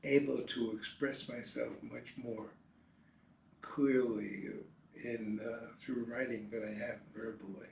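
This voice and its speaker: Very slow speech with vocal fry and long, frequent pauses. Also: man. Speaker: retired businessman and writer. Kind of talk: interview answer. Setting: home.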